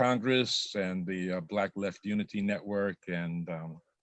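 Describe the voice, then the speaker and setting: Speaking at a fairly slow pace, the man has a very deep, low voice and fairly even intonation. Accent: American. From New York City, Brooklyn (Bedford-Stuyvesant). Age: 70s. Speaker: activist and adjunct instructor. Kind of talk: self-introduction in panel discussion.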